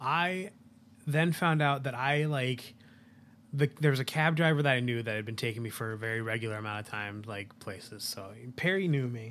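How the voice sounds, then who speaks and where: A man with an American accent, a normal speaking voice, medium pitch, lively intonation and a moderate pace. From US Northeast / west. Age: 30s. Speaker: podcast co-host, chef. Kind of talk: casual chat.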